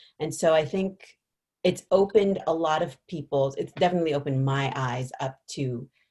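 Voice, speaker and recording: Somewhat breathy and dark, mellow in tone, a woman's voice moves with ordinary pitch variation. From Canada, first generation Jamaican Canadian. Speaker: actress. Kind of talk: interview.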